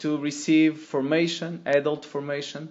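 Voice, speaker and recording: A man speaks in a Portuguese accent, his pitch fairly high. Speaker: lay missionary. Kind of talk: testimony. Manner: halting.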